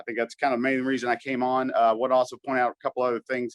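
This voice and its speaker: A man with a Kentucky accent, very fast and at a medium pitch, in a dry, close sound with no echo. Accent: Kentucky Southern US. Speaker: caller. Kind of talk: casual chat. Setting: video call. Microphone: poor audio.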